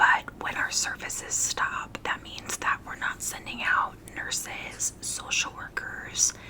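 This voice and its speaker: Over noticeable background noise, the whispering unfolds at a very slow pace. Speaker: hospice worker. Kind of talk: ASMR whisper ramble. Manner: whispered; casual, relaxed.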